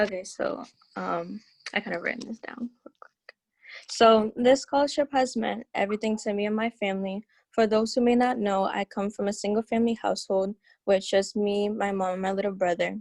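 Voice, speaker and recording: An unremarkable speaking voice from a woman with an American accent, medium in pitch, at a fairly quick pace with fairly even intonation, big swings in loudness, and a dry, close sound with no echo. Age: 18. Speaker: scholarship recipient, incoming college student. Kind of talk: panel remarks, partly read aloud.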